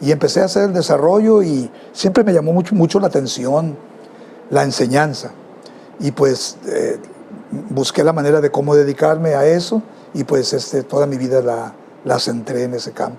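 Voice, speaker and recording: A man with a fairly high pitch speaks at a moderate pace with lively intonation. His long, frequent pauses come over noticeable background noise. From Mexico, Culiacán, Sinaloa. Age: 70s. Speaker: music teacher and band director. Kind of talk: interview. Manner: halting, with many repetitions and fillers.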